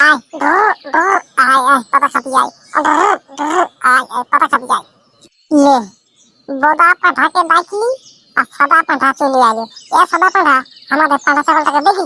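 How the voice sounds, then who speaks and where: A cartoonish character voice, high in pitch, at a moderate pace. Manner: cheeky, teasing.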